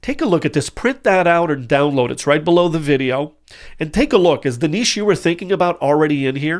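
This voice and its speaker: On a very clean recording with a silent background, a man speaks very fast in a fairly high, animated voice with lively intonation. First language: not English. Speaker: business coach. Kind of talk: tutorial.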